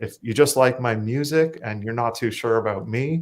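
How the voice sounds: A man at a moderate pace, his pitch medium and his tone slightly mellow. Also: ordinary pitch variation.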